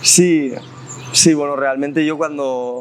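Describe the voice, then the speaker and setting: Very slow delivery from a man, his intonation fairly even. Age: 20s. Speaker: special education teacher. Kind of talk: interview. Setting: outdoors in a park.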